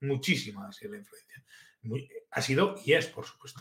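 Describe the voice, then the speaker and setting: Fairly high pitch in a man's somewhat breathy voice. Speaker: fly fishing livestream host. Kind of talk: live stream chat with viewers. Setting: live video stream. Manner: halting, many fillers.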